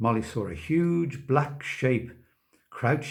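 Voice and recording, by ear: Someone reads aloud in a natural voice, with the background kept quiet.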